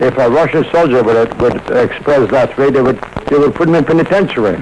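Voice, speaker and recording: Over noticeable background noise, a man with a fairly high voice speaks at a fairly quick pace, with ordinary pitch variation and very even loudness. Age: 80s+. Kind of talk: interview answer. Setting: radio broadcast recording.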